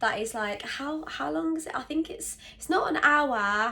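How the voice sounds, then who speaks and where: Her bright, sharp tone rises and falls with lively intonation as the woman talks at a fairly slow pace. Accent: British. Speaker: vlogger. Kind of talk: casual vlog talk to camera. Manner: hesitant, many fillers.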